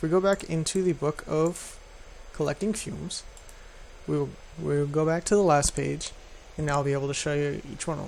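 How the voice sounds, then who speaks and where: Long pauses come often. Between them, the pace is fairly quick. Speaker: gaming YouTuber. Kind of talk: game tutorial.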